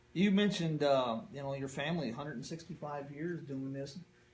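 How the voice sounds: Fairly high male voice in an American accent at a moderate pace, with strong room echo. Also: ordinary pitch variation.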